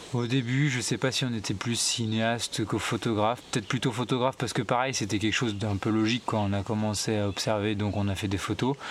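At a very fast pace, a man with a medium pitch speaks with fairly even intonation and very even loudness. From France, southern Deux-Sèvres. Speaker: wildlife filmmaker. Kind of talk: long-form interview. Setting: at a table in his small farm. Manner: halting, many hesitations.

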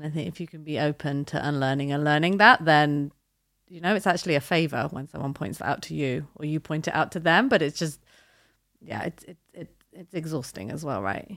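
With vocal fry and a very deep, low pitch, a woman talks at a fairly quick pace with lively intonation on a very clean recording with a silent background. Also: big swings in loudness. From Britain, with Japanese heritage. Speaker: artist manager. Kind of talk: casual chat.

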